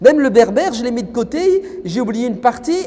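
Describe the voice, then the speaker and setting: An animated man speaks fairly quickly at an extremely high pitch. Noticeable background noise runs under his voice. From France. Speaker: preacher. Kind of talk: lecture.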